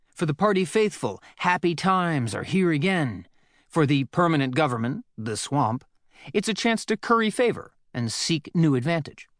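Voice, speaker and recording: Against a quiet background, a man with a fairly high pitch talks at a moderate pace with very wide pitch swings, the sound dry and close with no echo. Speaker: audiobook narrator. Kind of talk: audiobook narration.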